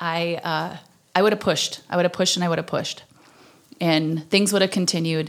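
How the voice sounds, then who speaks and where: With an Upper Midwest accent, a woman talks in a fairly even intonation. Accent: Upper Midwest American. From southwestern Minnesota. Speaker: podcast host. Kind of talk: testimony.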